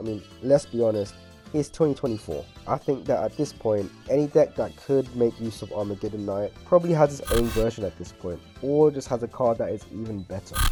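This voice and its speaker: With music in the background, a man of medium pitch talks at a fairly quick pace with lively intonation. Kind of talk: card game analysis commentary.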